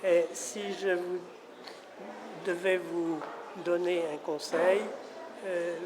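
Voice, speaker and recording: Over noticeable background noise and audible room echo, a man speaks at a very slow pace in a high pitch with fairly even intonation. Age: 70s. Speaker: son of a famous painter. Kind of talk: interview. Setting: museum. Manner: halting.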